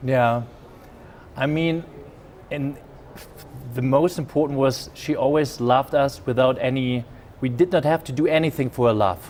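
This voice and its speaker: With a German accent, a man talks at a moderate pace and medium pitch, using ordinary pitch variation and long, frequent pauses. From Germany. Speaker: business executive. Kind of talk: interview. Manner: halting.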